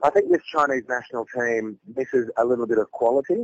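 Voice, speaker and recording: The voice carries an Australian accent. The sound is dry and close, with no echo. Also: man. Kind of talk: phone interview. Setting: phone call.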